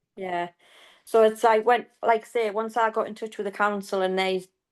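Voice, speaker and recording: A woman speaks with monotone, flat intonation. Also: quiet background. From northern England, County Durham. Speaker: bereaved mother and water safety campaigner. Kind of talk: casual chat.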